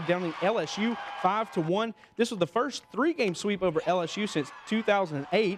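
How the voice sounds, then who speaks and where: A high-pitched man with ordinary pitch variation talks at a moderate pace. Noticeable background noise runs throughout. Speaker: local TV sports anchor. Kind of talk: TV sportscast delivery.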